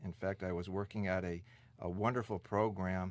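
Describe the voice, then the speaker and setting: Man with a Midwestern American accent at a moderate pace, on a very clean recording with a silent background. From US Midwest (Detroit). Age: 50s. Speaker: senior center director. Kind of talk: oral history interview.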